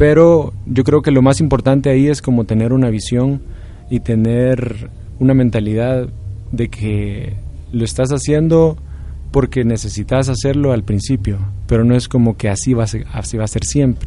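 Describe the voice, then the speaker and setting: Speaking at a moderate pace with ordinary pitch variation, this is a plain, everyday voice. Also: man, medium pitch for a man. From El Salvador. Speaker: rock guitarist. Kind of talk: interview.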